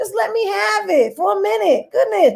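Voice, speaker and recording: A woman with an American accent, at a moderate pace, with very wide pitch swings. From Brooklyn, New York City. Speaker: comedian. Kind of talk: casual interview.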